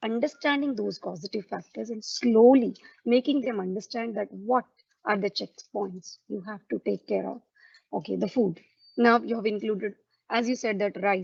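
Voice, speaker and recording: Her fairly high voice shows vocal fry and ordinary pitch variation, recorded with a dry, close sound and no echo. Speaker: ayurveda practitioner. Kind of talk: panel discussion. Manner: fast.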